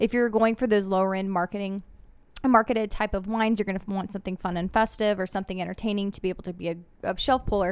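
A woman at a medium pitch talks at a very fast pace in an animated tone. The recording is very clean with a silent background. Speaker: podcast host. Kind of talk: casual chat. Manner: animated, excitable.

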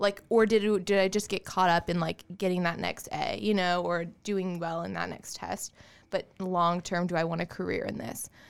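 A woman at a medium pitch with an American accent, moderate in pace, on a very clean recording with a silent background. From US South, Augusta, Georgia. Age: 20s. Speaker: real estate agent. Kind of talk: interview. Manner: animated.

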